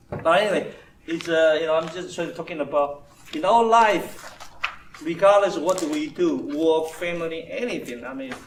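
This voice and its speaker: A man with a high pitch and ordinary pitch variation speaks with big swings in loudness. The recording has noticeable background noise and audible room echo. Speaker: engineering manager giving a talk. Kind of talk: informal talk to an audience. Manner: fast; halting, repetitive.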